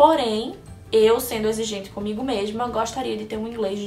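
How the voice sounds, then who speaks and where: Music plays in the background as a woman with a fairly high pitch speaks amid audible room echo. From Brazil, Recife (Pernambuco). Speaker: vlogger. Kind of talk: casual chat, answering viewer questions.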